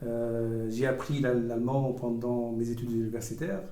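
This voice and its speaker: This speaker has an Arabic accent and a monotone, flat intonation at a moderate pace. Audible room echo and noticeable background noise fill the recording. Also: man. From Tunisia. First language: Arabic (speaking French). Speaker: diplomat. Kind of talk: interview. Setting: school campus talk. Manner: hesitant, many fillers.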